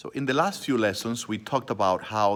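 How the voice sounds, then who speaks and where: Quietly, a man speaks at a fairly low pitch and a fairly slow pace with ordinary pitch variation. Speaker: elementary school teacher. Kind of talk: online science lesson for children. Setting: school library. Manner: softer, quiet voice.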